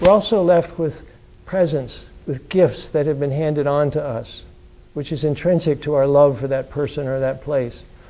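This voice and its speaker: A man's fairly high-pitched voice with a dark, mellow tone, a moderate pace and fairly even intonation. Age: 70s. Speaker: author. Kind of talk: lecture. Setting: lecture hall with audience. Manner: halting.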